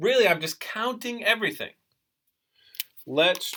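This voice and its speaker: The man's voice has a bright, sharp tone. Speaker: math teacher. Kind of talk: tutorial.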